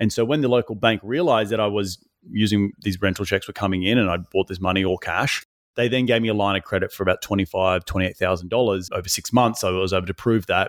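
A man's fairly low voice in an Australian accent, very fast, with ordinary pitch variation, on a very clean recording with a silent background and a dry, close sound with no echo. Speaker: real estate investor. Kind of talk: interview.

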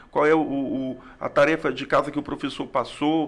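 A plain, everyday voice at a fairly slow pace. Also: man. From Brazil, Acre (Rio Branco). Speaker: history teacher and school principal. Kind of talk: interview conversation.

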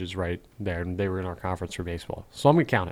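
A man with a slight Southern US accent talks in a very deep, low voice. The recording is very clean, with a silent background. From North Carolina, raised in NJ/Philly area. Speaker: podcast host. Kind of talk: casual chat.

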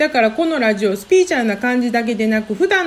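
Very wide pitch swings from a woman with a fairly high pitch, at a fairly quick pace, over noticeable background noise. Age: 40s. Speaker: healer and podcaster. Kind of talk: solo podcast monologue. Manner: fast when flustered.

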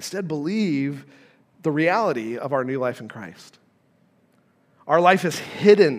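A man speaks at a fairly slow pace, with long, frequent pauses and lively intonation. His loudness swings widely, and room echo is audible. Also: fairly high pitch for a man. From Nevada, US West. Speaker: pastor. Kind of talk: sermon. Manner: halting, many fillers.

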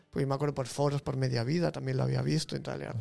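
A man rattles along at a very fast pace, with noticeable background noise around him. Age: 30s. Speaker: photographer. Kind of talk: casual chat.

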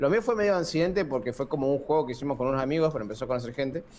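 A man speaks with a Rioplatense accent. His pitch is fairly high. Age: 20s. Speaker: YouTuber. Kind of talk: casual chat.

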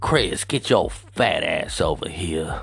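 A man's raspy, put-on character voice at a fairly slow pace over faint music in the background. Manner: crazy, exaggerated.

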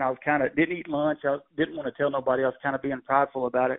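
Very fast and flat in a monotone, a man with a Texan accent speaks at a fairly high pitch. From Texas. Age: 40s. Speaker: rodeo bullfighter. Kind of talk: interview.

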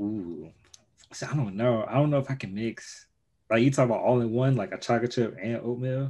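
Against a quiet background, a man with an American accent and a dark, mellow, medium-pitched voice talks at a fairly quick pace with ordinary pitch variation. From Chicago. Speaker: podcast host, engineer. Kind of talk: casual interview.

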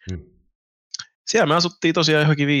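A man at a very fast pace. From Finland. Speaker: YouTuber. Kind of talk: casual chat.

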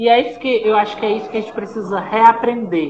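The speech moves at a fairly quick pace amid noticeable background noise. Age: 30s. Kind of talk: discussion panel.

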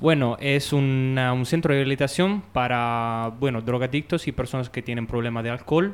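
This man speaks with an Italian accent at a medium pitch. The recording is very clean, with a silent background. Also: ordinary pitch variation, moderate pace. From Italy. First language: Italian (speaking Spanish). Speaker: rehab center worker. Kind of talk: interview. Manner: halting.

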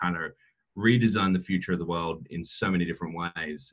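The speaker has an Australian accent and talks at a very fast pace. Pitch variation is ordinary. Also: man. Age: 30s. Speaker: cryptocurrency entrepreneur. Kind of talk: interview. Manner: frequent fillers and repetitions.

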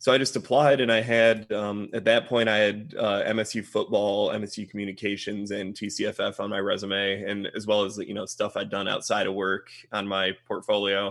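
This man has a Midwestern American accent and a fairly low pitch. He talks at a moderate pace in a monotone, flat intonation with hardly any pauses. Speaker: freelance film editor, recent graduate. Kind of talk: casual interview, guest talk. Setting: video call.

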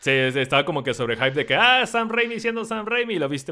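A man talks at a fairly quick pace in a high voice. His pitch swings very widely. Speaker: podcast host. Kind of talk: casual chat. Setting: live stream with Discord call.

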